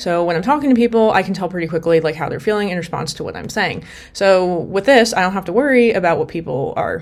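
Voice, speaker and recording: Lively intonation at a very fast pace. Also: woman. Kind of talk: casual talk to camera.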